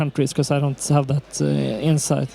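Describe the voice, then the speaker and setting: This man speaks with a Swedish accent. His pace is moderate. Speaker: keynote speaker, documentary producer. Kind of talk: conference Q&A answer. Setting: conference stage with audience. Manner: halting.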